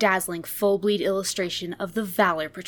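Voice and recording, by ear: Intonation stays fairly even in this natural-voiced reading aloud.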